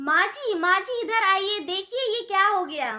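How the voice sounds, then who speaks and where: Doing a put-on character voice, a woman shouts loudly at an extremely high pitch with lively intonation and a moderate pace. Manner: loud, shouting, alarmed.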